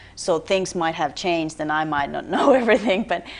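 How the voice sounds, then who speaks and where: Ordinary pitch variation in a woman's medium-pitched voice. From Finland. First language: Finnish. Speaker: theater marketing director. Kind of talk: TV interview. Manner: halting.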